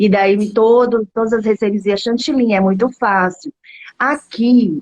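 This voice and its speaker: Soft-spoken and fairly slow, the voice shows ordinary pitch variation in a dry, close sound with no echo. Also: woman. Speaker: home baker starting a cake business. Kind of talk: casual chat. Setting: live video call. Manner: speaking softly; animated.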